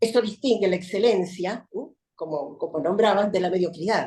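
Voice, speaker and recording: A woman speaks at medium pitch with a dark, mellow tone. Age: 70s. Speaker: judge. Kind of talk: panel talk. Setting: video call.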